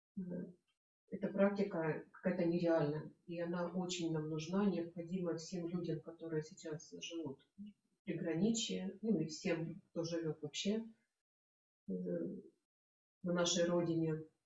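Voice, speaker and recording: A woman's fairly low voice, monotone and flat, at a very slow pace with long, frequent pauses, plus light background noise and audible room echo. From Russia, Belgorod; Russia. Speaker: workshop participant. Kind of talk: testimony. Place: home room. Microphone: camera far.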